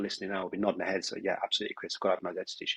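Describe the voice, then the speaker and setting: The sound of this man's speech is dry and close, with no echo. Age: 40s. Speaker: business owner. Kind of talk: podcast interview.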